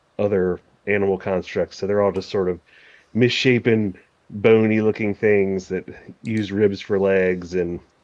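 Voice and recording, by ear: The intonation stays fairly even as this person reads aloud in a natural voice.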